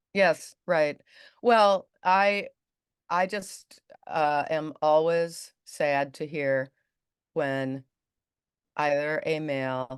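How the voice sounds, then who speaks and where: Every word comes out very slowly. Nothing can be heard behind the voice. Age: 60s. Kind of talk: interview. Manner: halting.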